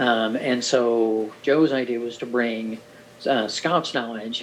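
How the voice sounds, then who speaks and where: A man speaks at a fairly slow pace in a medium pitch. Noticeable background noise runs underneath. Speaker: orientation and mobility instructor. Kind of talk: recorded presentation overview.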